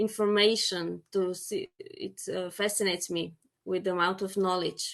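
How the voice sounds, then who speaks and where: Here a woman talks at a medium pitch with a Slovenian accent. Her pace is moderate and her intonation monotone and flat. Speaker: apitherapy educator. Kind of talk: panel discussion. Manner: halting.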